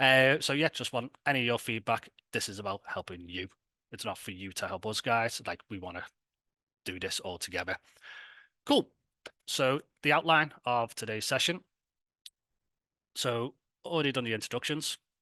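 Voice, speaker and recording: A man with a Liverpool accent talks at a medium pitch and a moderate pace, his tone bright and sharp. Long, frequent pauses break up his speech, the sound dry and close with no echo over a quiet background. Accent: Scouse. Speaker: tech company founder presenting a hackathon. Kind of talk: online presentation. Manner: casual, filler-heavy.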